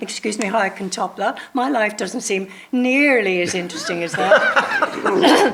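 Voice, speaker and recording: There is noticeable background noise as a woman with a medium pitch speaks in a Northern Irish accent. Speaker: actor. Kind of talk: panel discussion.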